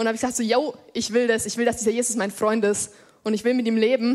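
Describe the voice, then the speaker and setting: A woman with a fairly high pitch. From Germany, Upper Franconia (Lichtenfels area). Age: 20s. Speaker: lay preacher. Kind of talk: sermon. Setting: church. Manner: casual youthful.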